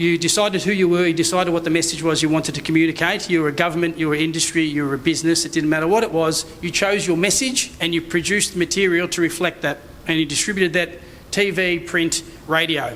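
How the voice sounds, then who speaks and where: Over noticeable background noise, a man talks very fast in a high-pitched voice. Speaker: conference speaker, digital strategy consultant. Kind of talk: conference presentation.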